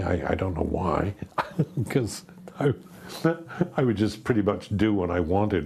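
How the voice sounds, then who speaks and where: There is noticeable background noise in this clip. Through it, a man talks at a medium speed. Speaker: actor. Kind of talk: interview answer.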